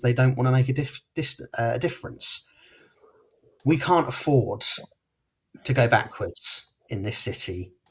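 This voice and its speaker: Somewhat breathy, a man talks at a moderate pace with a medium pitch and fairly even intonation. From Portsmouth, southern England. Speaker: local election candidate. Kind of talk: campaign closing speech.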